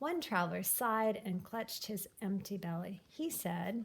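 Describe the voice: A woman speaks at medium pitch and a fairly slow pace. Her intonation is lively, with vocal fry.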